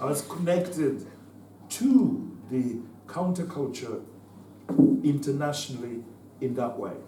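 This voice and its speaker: Amid audible room echo, a man with a fairly high voice and ordinary pitch variation speaks at a fairly slow pace with long, frequent pauses. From Zimbabwe (Southern Rhodesia). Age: 70s. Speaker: former liberation fighter. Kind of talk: conference talk. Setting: conference with student audience. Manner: halting, with repetitions.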